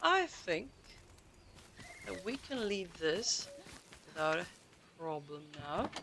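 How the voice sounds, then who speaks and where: Through noticeable background noise, a woman speaks very slowly with very wide pitch swings and long, frequent pauses. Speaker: gaming streamer. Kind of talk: live stream chat. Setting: home, late evening. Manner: quiet; halting.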